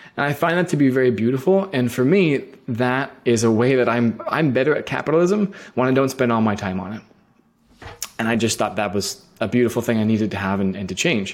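A man with an American accent, a normal speaking voice, medium pitch, lively intonation and a fairly quick pace. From US West Coast, San Francisco Bay Area. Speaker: agency founder and CEO. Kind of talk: interview.

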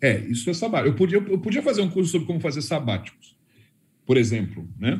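Speaking at a very fast pace, a man shows very wide pitch swings and vocal fry. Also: fairly high pitch for a man. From Brazil. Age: 50s. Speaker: personal development course creator. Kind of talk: casual panel consultation.

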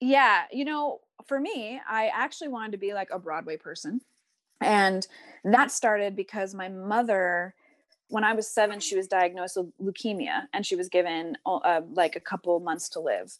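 Over a quiet background, a woman of medium pitch speaks at a moderate pace with lively intonation in a plain, everyday voice, the sound dry and close with no echo. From US Northeast, rural New Jersey and New York City. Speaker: actress. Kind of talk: casual chat. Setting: video call.

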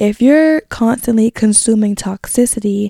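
At a moderate pace, a woman with a fairly high pitch talks in a dark, mellow tone, her pitch varying in an ordinary way, the sound dry and close with no echo. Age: 20s. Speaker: podcast host. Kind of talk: casual solo podcast chat. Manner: stutters at times.

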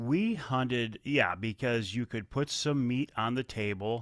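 Here a man with an Upper Midwest accent talks at medium pitch with ordinary pitch variation. The sound is dry and close, with no echo. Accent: Upper Midwest American. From Michigan, Kent County. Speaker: outdoor TV and magazine host. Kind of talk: interview.

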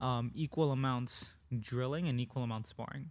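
In an ordinary speaking voice, a man talks at medium pitch and a moderate pace with fairly even intonation. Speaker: jiu-jitsu instructor and podcast co-host. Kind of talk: casual chat.

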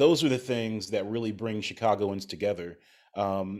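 Speaking with an American accent, a man talks at a moderate pace and a fairly low pitch. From Ohio. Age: 30s. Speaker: TV host and journalist. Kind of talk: casual chat.

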